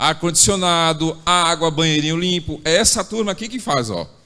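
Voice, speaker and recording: At a moderate pace, a man speaks in a bright, sharp tone with fairly high pitch. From Bahia, Brazil. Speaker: church service leader. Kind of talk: church announcements. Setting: church. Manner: warm, informal.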